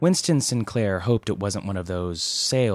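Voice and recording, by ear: This is someone reading aloud in a natural voice. The delivery stays that way throughout.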